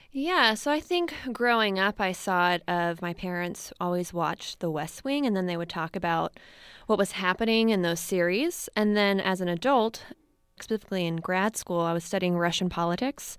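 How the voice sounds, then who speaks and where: A woman talks at a moderate pace in a normal speaking voice, with a medium pitch and ordinary pitch variation. The recording is very clean, with a silent background. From US East Coast (Maryland). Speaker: documentary filmmaker. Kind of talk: interview. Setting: studio.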